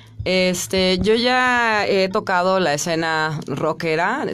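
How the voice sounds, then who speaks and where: A woman speaks over light background noise. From Mexico, Chiapas. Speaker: rock singer; interviewee. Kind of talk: radio interview. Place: studio. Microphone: studio mic.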